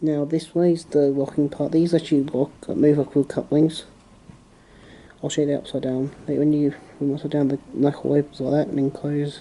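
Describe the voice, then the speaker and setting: A soft-spoken man's fairly high voice, dark and mellow in tone, with monotone, flat intonation. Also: moderate pace. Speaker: hobbyist model railway maker. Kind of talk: tutorial. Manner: halting.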